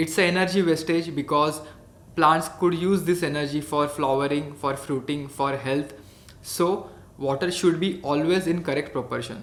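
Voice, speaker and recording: The intonation stays fairly even as the words arrive at a moderate speed. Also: man, fairly high pitch for a man. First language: Marathi. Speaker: hydroponics educator. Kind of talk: educational tutorial.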